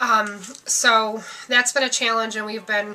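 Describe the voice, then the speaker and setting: Against noticeable background noise, a woman speaks in a fairly high pitch. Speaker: vlogger sharing family and fertility updates. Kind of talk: casual vlog update. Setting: at home. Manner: fast.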